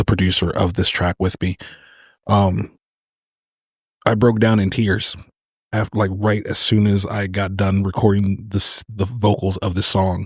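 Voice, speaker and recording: With an American accent, a man at a fairly low pitch speaks in a monotone, flat intonation at a moderate pace, recorded very cleanly with a silent background and a dry, close sound with no echo. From Virginia. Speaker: singer-songwriter. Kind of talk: interview. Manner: halting.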